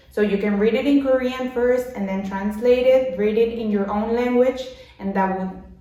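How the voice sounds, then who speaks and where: Over noticeable background noise and audible room echo, a woman with a Mexican accent speaks with fairly even intonation. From Mexico. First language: Spanish. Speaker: language learning vlogger. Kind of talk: tutorial. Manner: halting.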